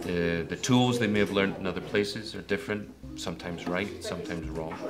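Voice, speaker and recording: With a Scottish accent, a man speaks very fast in a fairly low pitch with ordinary pitch variation, music playing behind him and audible room echo. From Scotland. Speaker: acting teacher. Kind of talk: interview.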